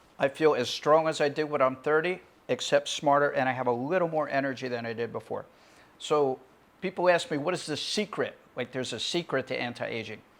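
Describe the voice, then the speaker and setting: A man with an American accent uses a normal speaking voice. His pitch is fairly high and his pace fairly quick. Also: ordinary pitch variation. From USA. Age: 60s. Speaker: physician. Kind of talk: promotional talk.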